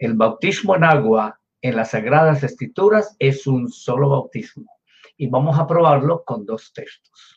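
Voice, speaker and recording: With a fairly high pitch and a somewhat breathy voice, a man speaks fairly slowly with lively intonation. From Colombia. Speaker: pastor. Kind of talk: sermon.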